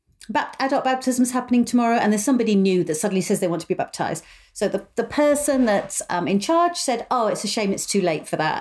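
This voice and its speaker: A woman talks very fast in a British accent. Her pitch is fairly high and her intonation lively. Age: 50s. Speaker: podcast host and mother of the host. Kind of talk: casual chat.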